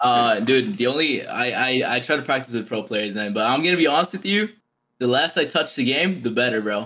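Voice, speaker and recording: A plain, everyday voice moving at a fairly quick pace. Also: man, medium pitch for a man. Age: 20s. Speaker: pro esports FIFA player. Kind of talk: casual chat.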